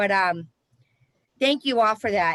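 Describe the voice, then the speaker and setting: With a Boston accent, a woman speaks at a fairly high pitch and with lively intonation, in a dry, close sound with no echo. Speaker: recovery coach supervisor and trainer. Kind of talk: training session discussion.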